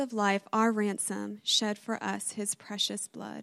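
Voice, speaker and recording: The recording is very clean and the background silent. A woman talks at a very slow rate. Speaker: church member reading advent reflection. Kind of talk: reflective reading. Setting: church with congregation.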